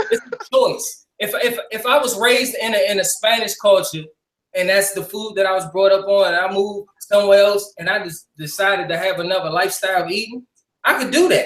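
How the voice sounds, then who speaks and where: A man speaks loudly and at a fairly quick pace, his high voice animated in tone with ordinary pitch variation. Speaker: talk show host. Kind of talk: heated debate.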